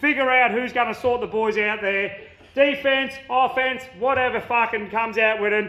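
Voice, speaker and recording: A man with an Australian accent speaks in a raised, projected voice at an extremely high pitch. His intonation stays fairly even over noticeable background noise. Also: moderate pace. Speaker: listener. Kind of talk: voice message.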